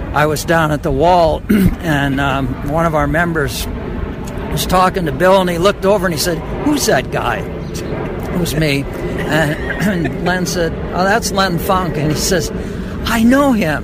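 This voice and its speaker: A man speaks at a fairly slow pace in a high voice with ordinary pitch variation, over noticeable background noise. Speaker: war veteran. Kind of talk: interview. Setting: outdoors.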